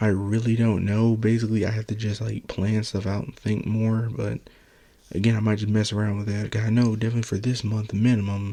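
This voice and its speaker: A soft-spoken man at a medium pitch, dark and mellow in tone, at a fairly quick pace. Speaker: solo video blogger. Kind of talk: casual monologue.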